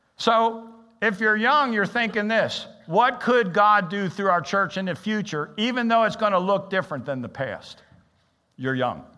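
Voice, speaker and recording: Raising and projecting his voice, a man speaks at a moderate pace with a high pitch, a bright, sharp tone and lively intonation. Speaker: interim pastor. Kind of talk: sermon. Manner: halting.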